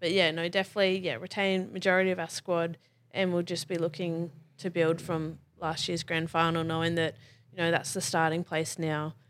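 A woman with an Australian accent, fairly low pitch, monotone, flat intonation and a fairly quick pace. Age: 20s. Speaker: rugby league player and firefighter. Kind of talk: casual chat.

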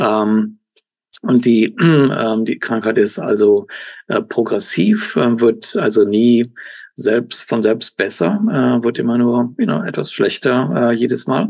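The man talks very slowly, his medium-pitched voice varying in pitch in an ordinary way. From Germany, Cologne. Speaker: professor and kidney researcher. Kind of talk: interview. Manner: halting, many fillers and English words.

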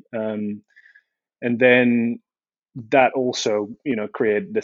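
Fairly even intonation and a fairly slow pace mark this voice with a Dutch accent. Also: man. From Netherlands, small country town. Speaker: industrial designer. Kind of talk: casual chat.

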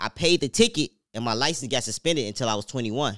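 A man talks very fast at a medium pitch, his intonation lively and his tone bright and sharp. The recording is very clean, with a silent background and a dry, close sound with no echo. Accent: American. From Chicago. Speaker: podcast co-host. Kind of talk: casual chat.

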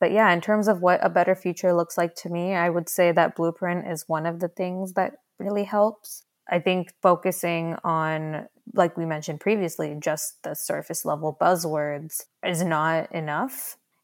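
A woman with an American accent and a normal speaking voice talks at a moderate pace and a fairly low pitch with fairly even intonation, in a very clean recording with a silent background. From Dallas, Texas, then India. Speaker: sustainability advocate and fashion brand founder. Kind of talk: interview.

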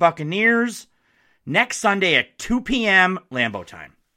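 In a very clean recording with a silent background, a man speaks at a high pitch with very wide pitch swings and a bright, sharp tone. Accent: American. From Upper Peninsula of Michigan, Marquette. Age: 40s. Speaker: sports podcast host. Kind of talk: sports podcast monologue. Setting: home studio. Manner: animated.

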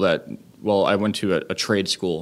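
Monotone, flat intonation in a very clean recording with a silent background. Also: man. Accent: American. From central Massachusetts. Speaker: chef and restaurateur. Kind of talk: interview. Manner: halting, many fillers.

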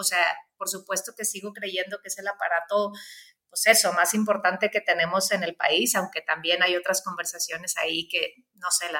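A woman speaks in a monotone at a moderate pace, her medium-pitched voice bright and sharp in tone. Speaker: human rights consultant. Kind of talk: interview conversation. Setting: video call from office. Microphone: slight echo.

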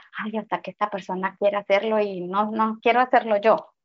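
A woman's fairly high voice at a fairly quick pace, her intonation monotone and flat. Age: 40s. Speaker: spiritual guide. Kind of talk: interview.

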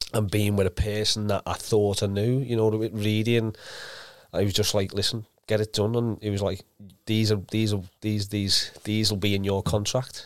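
At a moderate pace and very even loudness, a man with a Liverpool accent speaks fairly low and in a monotone, flat way, on a very clean recording with a silent background. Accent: Scouse. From Liverpool, England. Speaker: former professional footballer. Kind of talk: casual interview.

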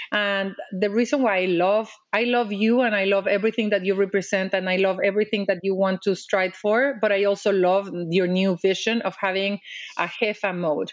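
A woman with a Mexican accent talks at a moderate pace in a medium pitch, keeping her loudness very even. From Mexico. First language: Spanish. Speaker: diplomat and advocate. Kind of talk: interview. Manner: animated.

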